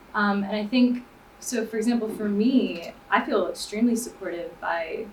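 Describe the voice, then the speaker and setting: With an American accent, a woman speaks at medium pitch and a moderate pace against noticeable background noise. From Miami, Florida. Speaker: graduate student panelist. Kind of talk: panel discussion.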